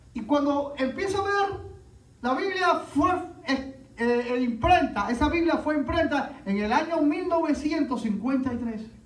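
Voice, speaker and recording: In a room with audible echo, a man with an extremely high pitch speaks at a fairly slow pace with ordinary pitch variation. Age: 60s. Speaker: pastor. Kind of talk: sermon.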